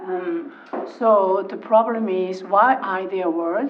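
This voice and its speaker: A woman speaks at a medium pitch. Her voice carries audible room echo and noticeable background noise. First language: not English. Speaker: local councillor. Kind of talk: council meeting debate. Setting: council chamber. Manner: halting.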